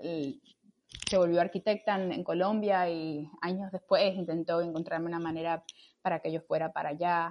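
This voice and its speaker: A woman talks in an ordinary speaking voice with a fairly low pitch. Her pace is moderate and her intonation fairly even. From Cuba, Camagüey. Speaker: astrophysicist and mountaineer. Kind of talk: interview.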